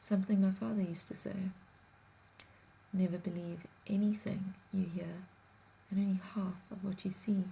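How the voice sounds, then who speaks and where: A soft-spoken woman at medium pitch, somewhat breathy, dark and mellow in tone, flat and monotone in intonation, at a moderate pace with long, frequent pauses. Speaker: blogger. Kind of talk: reading aloud.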